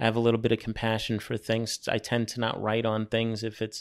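A man with a New York accent at medium pitch and a fairly quick pace, in a very clean recording with a silent background. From New York City (Brooklyn, Staten Island). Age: 40s. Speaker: graffiti artist. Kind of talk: casual interview. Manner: halting, many repetitions.

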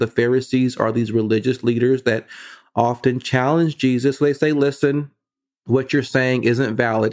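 Over a quiet background, a man with an American accent talks at a moderate pace. His medium-pitched voice keeps fairly even intonation. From US West Coast (Vallejo, California). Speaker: preacher. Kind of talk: sermon.

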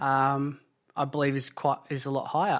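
A man with an Australian accent talks at a moderate pace and a fairly high pitch. The background is quiet. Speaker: construction worker and addiction support worker. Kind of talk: podcast interview. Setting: lounge room.

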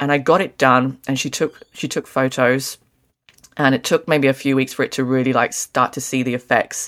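A woman with an Australian accent talks at a moderate pace. Her pitch is very deep and low, with fairly even intonation. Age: 30s. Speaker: podcast co-host. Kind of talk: casual chat.

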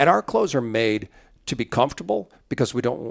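A normal speaking voice from a man with an American accent, medium pitch, ordinary pitch variation and a fairly quick pace. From central Illinois. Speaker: camo company president. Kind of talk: casual interview. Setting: company headquarters.

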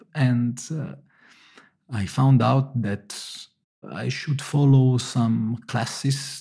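A man's very slow, medium-pitched speech, somewhat breathy, with a dark, mellow tone. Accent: Italian. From Italy (Naples). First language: Italian. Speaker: engineer turned pizza maker. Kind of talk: interview. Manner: halting.

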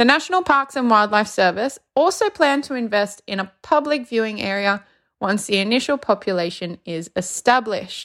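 A woman with an unremarkable speaking voice talks at a moderate pace, her fairly high pitch moving in lively intonation, on a very clean recording with a silent background. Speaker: zoo worker reading a news story. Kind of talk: news reading.

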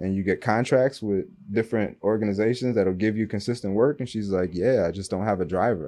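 A man with an American accent, very fast, fairly low-pitched, dark and mellow in tone, with ordinary pitch variation. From Kentucky (Louisville), later Michigan near Detroit. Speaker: entrepreneur, sports media business owner. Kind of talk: casual interview chat.

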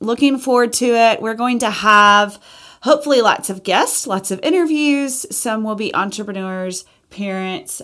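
Recorded very cleanly against a silent background, the speaker uses an Alabama accent at a moderate pace with ordinary pitch variation. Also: woman. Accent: Southern US (Alabama). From US South, Alabama. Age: 40s. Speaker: podcast host, interior designer and entrepreneur. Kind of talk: casual monologue podcast intro.

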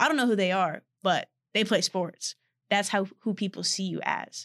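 A woman with an American accent speaks in a plain, everyday voice at medium pitch and a moderate pace, her intonation fairly even, the sound dry and close with no echo over a quiet background. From Texas, Austin. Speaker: college athlete and podcast co-host. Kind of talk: casual chat.

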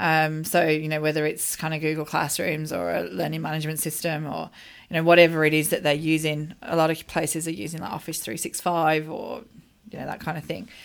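With an Australian accent, a woman speaks at a fairly quick pace in a very deep, low pitch with fairly even intonation, on a very clean recording with a silent background. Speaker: teaching expert, educator. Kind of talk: casual chat. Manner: hesitant, many fillers.

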